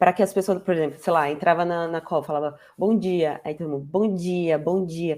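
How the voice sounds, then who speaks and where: This woman's voice sits fairly low, with a dark, mellow tone and a moderate pace. The recording is very clean and the background silent. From Brazil. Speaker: guest, immigrant professional. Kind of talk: interview conversation.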